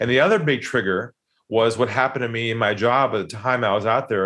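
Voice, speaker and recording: This man speaks with an American accent at medium pitch. He goes at a very fast pace. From San Diego, California. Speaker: sales trainer and author. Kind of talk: casual interview conversation.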